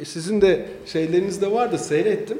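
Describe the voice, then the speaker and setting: A man speaks at a fairly slow pace. Audible room echo and noticeable background noise fill the recording. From Istanbul, Turkey. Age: 50s. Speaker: businessman. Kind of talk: casual interview.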